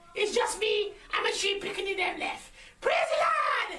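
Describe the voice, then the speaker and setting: A put-on character voice at an extremely high pitch talks at a moderate pace over clear background noise. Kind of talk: comic overacting. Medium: solo performance. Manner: loud, bossy, rambling.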